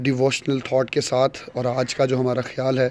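The recording of this man's voice has a dry sound with no echo. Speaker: speaker. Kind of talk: daily devotional talk with scripture reading. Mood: calm, earnest. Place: open country. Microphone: phone near.

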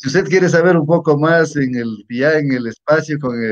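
A man with a normal speaking voice, at a fairly slow pace with ordinary pitch variation, over a quiet background. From Ecuador, Imbabura (Natabuela); Ecuador. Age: 50s. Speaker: teacher and local politician; teacher, local politician. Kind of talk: interview. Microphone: video call.

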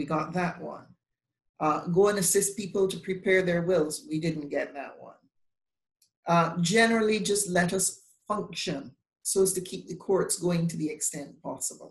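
A woman speaks at a moderate pace in a somewhat breathy voice, with ordinary pitch variation and big swings in loudness. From Barbados. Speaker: bar association president, lawyer; lawyer. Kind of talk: panel discussion. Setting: video call. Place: home room. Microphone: video call.

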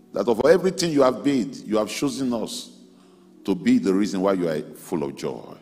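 A man speaks at a fairly quick pace with a dark, mellow tone. His pitch swings very widely. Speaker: pastor leading prayer. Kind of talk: prayer. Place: hall. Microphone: handheld.

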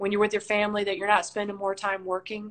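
A woman is speaking. Her pitch is medium. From Tennessee, Nashville; Tennessee. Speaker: basketball coach. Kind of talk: interview. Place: home room. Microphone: video call.

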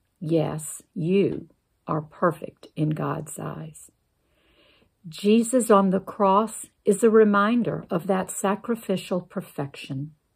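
Against a quiet background, a woman of medium pitch speaks at a very slow pace in a calm, gentle tone, with vocal fry and ordinary pitch variation. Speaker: church member reading a Lenten meditation. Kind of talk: guided meditation and closing prayer. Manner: slow, calm, reverent, gentle pacing with pauses; earnest, prayerful, soothing. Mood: calm, reverent.

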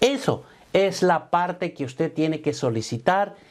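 A man's fairly high voice, slightly mellow in tone, with lively intonation at a fairly slow pace

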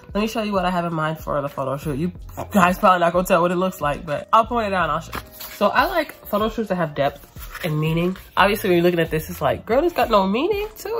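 A woman speaks at a very fast pace. Faint music plays in the background. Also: ordinary pitch variation. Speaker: artist vlogger. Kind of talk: casual vlog chat. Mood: upbeat, playful. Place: home room. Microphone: phone near.

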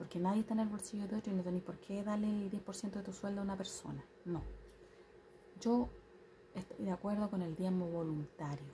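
A soft-spoken woman at a medium pitch, fairly quick pace and fairly even intonation, over light background noise. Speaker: vlogger, tarot reader. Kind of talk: casual vlog monologue. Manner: soft-spoken, quiet. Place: home room. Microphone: phone near.

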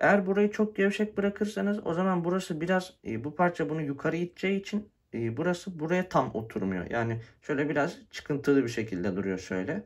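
A man talks at a fairly quick pace with a high pitch and very wide pitch swings. The background is quiet. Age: 20s. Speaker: tech YouTuber; scooter owner reviewer. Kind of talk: product review tutorial. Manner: casual with frequent fillers. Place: home room. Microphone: phone near.

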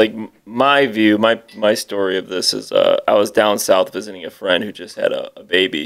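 A man at a moderate pace, with a quiet background. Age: 30s. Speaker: metal band musician; guest. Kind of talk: casual chat. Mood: relaxed, reminiscing. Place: home room. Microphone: studio mic.

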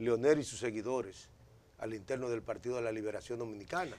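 A man speaks at a moderate pace. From Dominican Republic. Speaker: politician. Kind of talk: interview. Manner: halting. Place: studio. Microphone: lapel.

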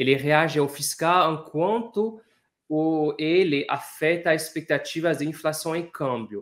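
At a fairly slow pace, this speaker uses ordinary pitch variation with a non-native accent. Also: man, quiet background. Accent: foreign accent in Portuguese. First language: not Portuguese (speaking Portuguese). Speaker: economist; guest. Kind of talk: interview. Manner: hesitant, many fillers. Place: office.

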